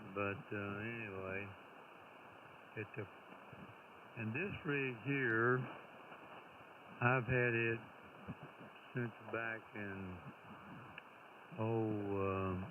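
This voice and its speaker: A man at medium pitch speaks at a very slow pace with long, frequent pauses and fairly even intonation. Audible room echo and noticeable background noise fill the recording. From Tennessee. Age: 80s. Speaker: retired amateur radio operator. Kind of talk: casual chat over radio contact.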